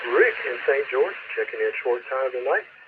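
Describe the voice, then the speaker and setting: A man talks in a South Carolina accent over noticeable background noise. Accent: Southern US (South Carolina). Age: 70s. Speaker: amateur radio net control operator. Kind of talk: radio net check-in and chat. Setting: two-way radio repeater. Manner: halting, many fillers.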